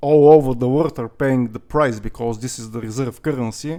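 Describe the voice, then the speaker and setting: This speaker has a non-native accent and a moderate pace. The pitch varies in an ordinary way. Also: man. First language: not English. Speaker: crypto youtuber. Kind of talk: casual vlog monologue. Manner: hesitant, many fillers.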